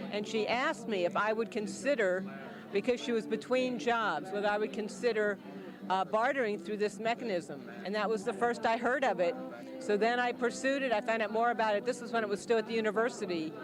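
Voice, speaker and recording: Noticeable background noise accompanies a woman speaking fairly quickly at a fairly high pitch with ordinary pitch variation. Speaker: small business owner, career coach. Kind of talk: interview testimonial. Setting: community launch event.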